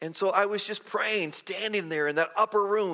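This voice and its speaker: A man's raised, projected voice, high in pitch, bright and sharp in tone, with fairly even intonation. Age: 60s. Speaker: preacher. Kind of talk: sermon. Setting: church with congregation.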